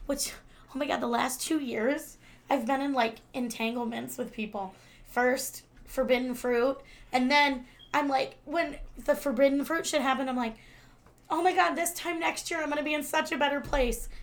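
High-pitched and animated, a woman speaks with ordinary pitch variation. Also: moderate pace. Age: 30s. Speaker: podcast co-host. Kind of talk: casual chat.

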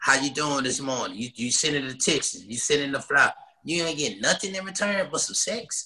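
Talking at a fairly quick pace, a man has a fairly high voice and an American accent. His is a plain, everyday voice. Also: lively intonation. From Texas, Dallas (Oak Cliff). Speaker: podcast co-host, married guest. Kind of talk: casual chat.

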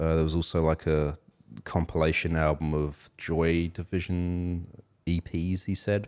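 In an Australian accent, a man speaks with a very deep, low pitch. His fairly slow delivery stays monotone and flat. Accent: Australian accent, noticeable. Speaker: music podcast co-host. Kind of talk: casual chat. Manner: relaxed, filler-heavy.

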